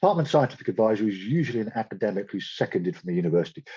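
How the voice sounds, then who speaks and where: This man's voice sits fairly low, with lively intonation. The sound is dry and close, with no echo. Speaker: marine biology researcher giving a talk. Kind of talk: lecture. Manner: fast.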